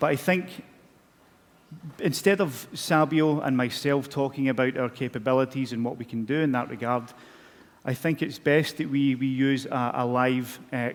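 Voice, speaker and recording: A man's medium-pitched voice in a strong Scottish accent, fairly even in intonation, at a moderate pace. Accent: Scottish, broad. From Scotland. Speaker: corporate communications manager, presenter. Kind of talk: conference presentation. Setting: stage with audience. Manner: halting.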